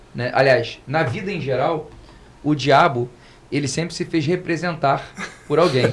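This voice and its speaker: The pitch of this man varies in an ordinary way. His voice is somewhat breathy. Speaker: lawyer. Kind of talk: podcast panel discussion. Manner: fast.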